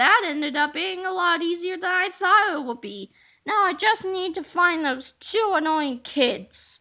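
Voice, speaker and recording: Using a put-on character voice, a woman speaks at a moderate pace in an extremely high pitch. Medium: read story.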